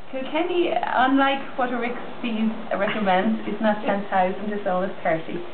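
A woman speaks in an Irish accent at a moderate pace. Her pitch variation is ordinary, with noticeable background noise behind her. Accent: Irish brogue. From Ireland. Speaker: B&B hostess. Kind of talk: casual talk to camera. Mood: cheerful, friendly. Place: home room. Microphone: camera far.

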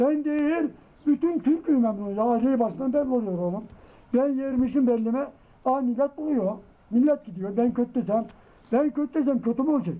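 A man with an extremely high pitch, ordinary pitch variation and a moderate pace. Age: 80s+. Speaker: elderly villager. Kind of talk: casual interview. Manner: animated. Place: street. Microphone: camera far.

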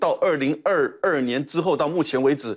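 Moderate-paced male speech over a quiet background. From Taiwan. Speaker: former national security official; guest commentator. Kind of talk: TV panel discussion. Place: studio. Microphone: lapel.

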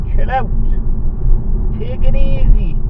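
With loud background noise around him, a man's voice comes through dry, with no echo. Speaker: driver vlogger. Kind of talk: comedic rant. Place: car. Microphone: camera far.

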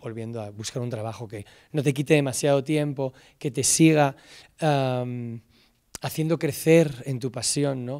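A man speaks at a medium pitch and a fairly slow pace, his dark, mellow tone swinging widely in loudness while his intonation stays fairly even against a quiet background. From Spain, Salamanca; Spain. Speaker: film director and screenwriter. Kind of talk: talk to students. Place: stage. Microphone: handheld.

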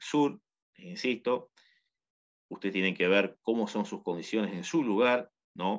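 Speaking very slowly, a man has a fairly low pitch and a Uruguayan accent. His intonation is lively. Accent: Uruguayan Rioplatense Spanish. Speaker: agronomist teaching home gardening. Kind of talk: tutorial.

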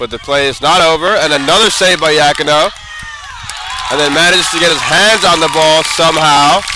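A man with a fairly high pitch and an animated tone speaks with ordinary pitch variation over noticeable background noise. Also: fairly quick pace. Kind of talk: live sports commentary over match highlights. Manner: fast-paced, animated play-by-play delivery; rising excitement on big saves and goals.

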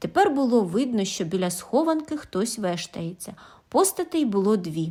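The voice heard here is an unforced reading voice.

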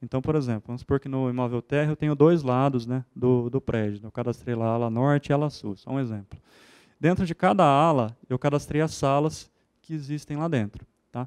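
A man talking at a fairly quick pace, with ordinary pitch variation, over a quiet background. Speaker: university property management staff; presenter, system trainer. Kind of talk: software demonstration presentation. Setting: auditorium with audience. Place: hall. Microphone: handheld.

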